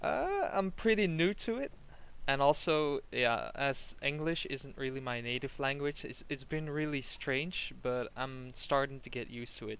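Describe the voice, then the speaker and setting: With a Flemish accent, a man talks at a fairly slow pace in a fairly high voice with ordinary pitch variation. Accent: Belgian Dutch (Flemish) accent in English. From Belgium. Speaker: game coach. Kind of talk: coaching session, casual chat.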